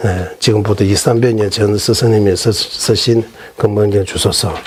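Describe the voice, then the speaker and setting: With audible room echo and noticeable background noise, a man speaks at a fairly slow pace and very even loudness. His pitch is fairly low. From Tibet. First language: Tibetan (speaking Korean). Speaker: Buddhist monk teacher. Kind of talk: lecture. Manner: halting, many fillers.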